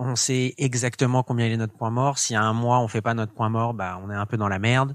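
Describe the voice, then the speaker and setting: A man with a plain, everyday voice talks at a moderate pace and medium pitch, his intonation fairly even on a very clean recording with a silent background. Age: 20s. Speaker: fashion entrepreneur. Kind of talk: interview.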